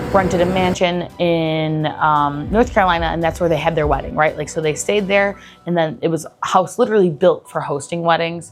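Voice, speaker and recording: This woman talks with a Buffalo accent at a fairly low pitch. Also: fairly quick pace, hardly any pauses. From Buffalo, New York. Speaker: travel vlogger. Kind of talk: casual vlog monologue. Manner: casual, filler-heavy (lots of 'like').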